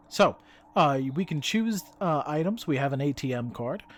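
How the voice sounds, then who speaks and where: Fairly high-pitched male voice. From Spanish-speaking country, moved to US as child. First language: Spanish. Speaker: gaming YouTuber. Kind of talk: let's play commentary. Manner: casual, many filler words.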